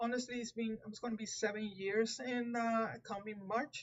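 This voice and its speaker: A woman speaks with a Puerto Rican accent at a fairly high pitch. Her pace is fairly slow. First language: Spanish. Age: 50s. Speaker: tarot reader. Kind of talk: live stream talk. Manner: halting.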